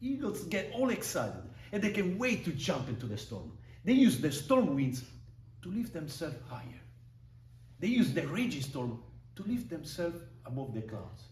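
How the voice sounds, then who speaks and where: Amid audible room echo, a man with a fairly high pitch speaks at a moderate pace with very wide pitch swings and long, frequent pauses. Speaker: public speaking club member. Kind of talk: prepared speech.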